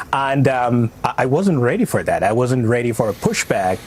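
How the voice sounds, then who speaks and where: Medium pitch from a man, ordinary pitch variation, noticeable background noise. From Somalia. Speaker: refugee and community critic. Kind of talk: TV news interview. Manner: hesitant, many fillers.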